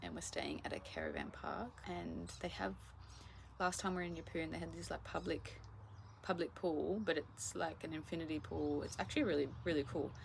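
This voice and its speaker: A woman speaks in an Australian accent. Her pace is moderate. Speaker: travel vlogger. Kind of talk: casual vlog talk to camera.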